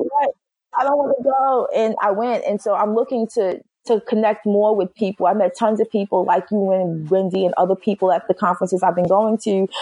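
A woman's medium-pitched, dark, mellow voice in a New York accent, fairly quick, with ordinary pitch variation, very even loudness and a dry, close sound without echo. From Brooklyn, New York. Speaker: HR executive. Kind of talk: interview.

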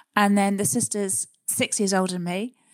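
A woman in a southern English accent, monotone and flat, on a very clean, dry, close recording with no echo and a silent background. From southern England, Surrey. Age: middle-aged. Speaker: adventurer and psychologist. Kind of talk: interview conversation.

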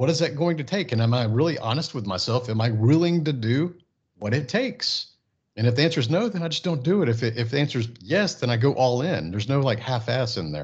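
Somewhat breathy, a man with an American accent talks at a very fast pace and medium pitch with lively intonation, against a quiet background. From Texas, Houston area. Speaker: entrepreneur and business coach. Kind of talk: casual interview.

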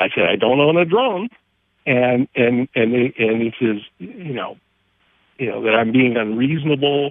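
In an ordinary speaking voice, a man talks at a medium pitch and a moderate pace with ordinary pitch variation. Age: 60s. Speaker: caller, homeowner restoring a house. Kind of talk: call-in conversation. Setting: phone call.

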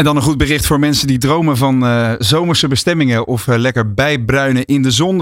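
A man speaks in a normal speaking voice at a moderate pace with lively intonation. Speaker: radio co-host. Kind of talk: radio talk show. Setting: studio.

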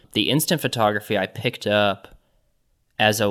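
In a very clean recording with a silent background, a man with an American accent speaks at a moderate pace in a bright, sharp tone with fairly even intonation. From Kansas (Johnson County), US Midwest. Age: 30s. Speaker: artist and curator. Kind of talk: casual interview.

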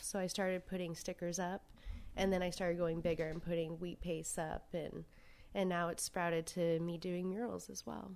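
With an American accent, a woman speaks in a plain, everyday voice at a moderate pace. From US South, Savannah, Georgia. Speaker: street artist. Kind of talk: casual interview chat. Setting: around a dining room table.

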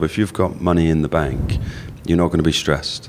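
Talking at a very fast pace, the man has a very deep, low pitch. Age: 40s. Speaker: life insurance adviser. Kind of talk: interview. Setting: hotel venue.

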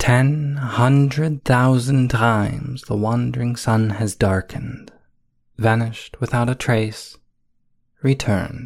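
At a very slow pace, a man speaks in a medium, somewhat breathy voice with fairly even intonation and a solemn tone. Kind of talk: poetry reading, solemn archaic verse read aloud.

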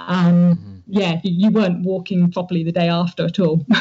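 A woman's somewhat breathy voice at medium pitch, monotone and flat in intonation, at a moderate pace. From southern England, Dorset. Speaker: amateur mountain bike racer. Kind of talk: interview.

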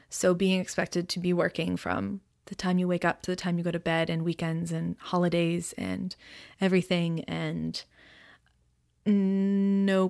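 Speaking at a moderate pace with a monotone, flat intonation, a woman with an Ontario accent has a fairly low pitch, recorded very cleanly over a silent background. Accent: Canadian (Ontario). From Ontario, Canada (Aurora, Toronto suburbs). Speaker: florist and small business owner. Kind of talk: casual interview chat.

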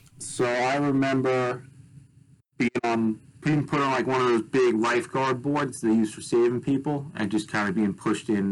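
With an American accent, a man speaks in a normal speaking voice at a medium pitch and a moderate pace. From US Northeast, Long Island, New York. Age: 20s. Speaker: wave pool developer. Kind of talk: interview.

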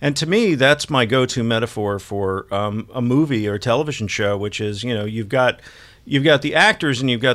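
In an ordinary speaking voice, a man talks fairly quickly with lively intonation. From Texas, Dallas. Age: 50s. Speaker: television and film critic. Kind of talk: casual interview chat.

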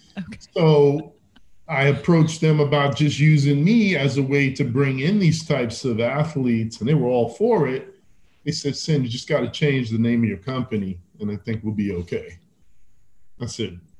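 A man speaks with lively intonation at a moderate pace. His voice is fairly high-pitched and somewhat breathy. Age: 50s. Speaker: fitness entrepreneur. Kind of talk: casual chat.

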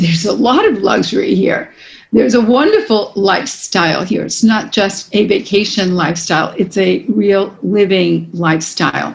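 Somewhat breathy woman's voice with an American accent, medium in pitch, lively in intonation, at a fairly slow pace. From New York City. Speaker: real estate executive. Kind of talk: interview.

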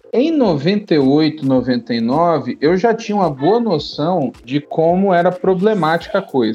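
The pace is very slow, yet there are hardly any pauses. Pitch swings very widely while loudness stays very even. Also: man, high pitch for a man. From São Paulo city, Brazil. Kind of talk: casual chat.

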